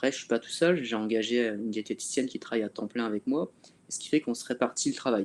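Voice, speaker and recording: Talking at a very fast pace with big swings in loudness, a man is heard in a dry, close recording with no echo. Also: medium pitch for a man, ordinary pitch variation. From northern France (Calais). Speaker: fitness coach. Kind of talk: webinar discussion.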